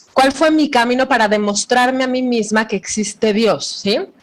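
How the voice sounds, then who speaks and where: Here a woman speaks in a fairly high pitch. Noticeable background noise runs underneath. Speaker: psychologist and Bible teacher. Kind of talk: lecture.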